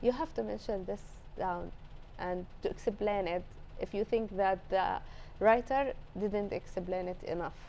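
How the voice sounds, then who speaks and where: Speaking at a fairly slow pace in an Arabic accent, a woman with a medium pitch and vocal fry leaves long, frequent pauses, her pitch varying in an ordinary way. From Palestine, Gaza. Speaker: translator. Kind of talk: interview. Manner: halting.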